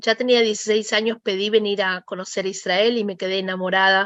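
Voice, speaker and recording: In a Rioplatense accent, a woman speaks at medium pitch with a bright, sharp tone and flat, monotone intonation over a quiet background. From Argentina, Buenos Aires. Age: 40s. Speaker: interviewee, mother of soldiers. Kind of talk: interview testimony.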